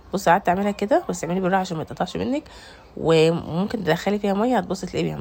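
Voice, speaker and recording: Very fast speech in an Egyptian accent, with ordinary pitch variation. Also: woman. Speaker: home cooking vlogger. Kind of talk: cooking tutorial. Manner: casual, chatty.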